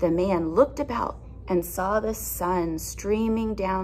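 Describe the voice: Ordinary pitch variation in plain reading aloud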